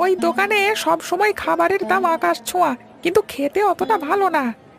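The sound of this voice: Over clear background noise, a man performs a cartoonish character voice. He keeps to a moderate pace.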